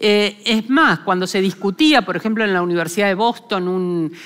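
A woman at medium pitch against a quiet background. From Argentina. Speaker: philosopher; lecturer. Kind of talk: lecture. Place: hall. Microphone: headset.

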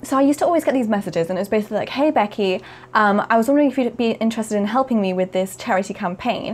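A woman talks at a very fast pace and a fairly high pitch. Her pitch varies in an ordinary way. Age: 20s. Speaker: YouTuber; video creator. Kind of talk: casual monologue to camera. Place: home room.

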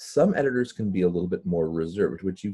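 A man's voice amid quiet surroundings. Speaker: webinar presenter. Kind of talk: lecture. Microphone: webcam.

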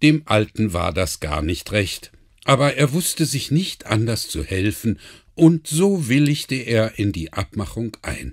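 Over a very clean recording with a silent background, a voice with vocal fry and a gentle, warm tone moves at a very slow pace through very wide pitch swings. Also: man, medium pitch for a man. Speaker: audiobook narrator. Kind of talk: bedtime story reading, calm fairy-tale narration aloud with character voices. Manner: gentle, unhurried storyteller pace, warm and expressive.

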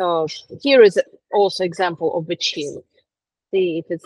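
Recorded dry with no echo against a quiet background, a woman with a Russian accent speaks at fairly low pitch with lively intonation. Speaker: etiquette specialist. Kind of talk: lecture. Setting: video call.

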